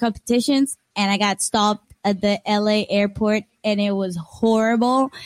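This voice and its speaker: In a Costa Rican accent, a woman speaks at a fairly high pitch with ordinary pitch variation, the sound dry and close with no echo. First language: Spanish. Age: 20s. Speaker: paddleboard athlete. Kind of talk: interview.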